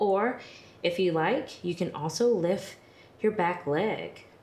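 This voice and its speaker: Speaking at a very slow pace, a woman with a fairly low voice uses a calm, gentle tone and lively intonation. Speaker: yoga instructor. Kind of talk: guided yoga class. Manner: calm, gentle instruction.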